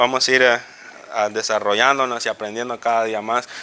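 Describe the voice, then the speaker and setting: Noticeable background noise accompanies a man whose voice sits at a medium pitch. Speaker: Bible teacher. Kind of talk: Bible class teaching. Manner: fast.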